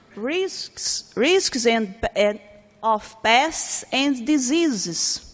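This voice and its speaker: A woman's high-pitched voice with a Portuguese accent, very wide pitch swings and a very slow pace. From Brazil. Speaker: researcher and professor. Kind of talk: conference talk. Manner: halting.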